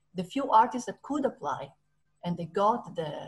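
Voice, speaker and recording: The speaker sounds somewhat breathy, moving at a moderate pace with lively intonation. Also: woman. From Italy. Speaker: touring theatre professional. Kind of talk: panel talk. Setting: video call. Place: home room. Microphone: video call.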